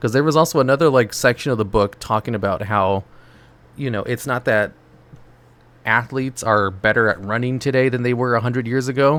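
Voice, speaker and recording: With an ordinary speaking voice, a man talks at a fairly quick pace and shows ordinary pitch variation. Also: medium pitch for a man. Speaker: gaming streamer. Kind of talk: casual chat. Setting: live stream.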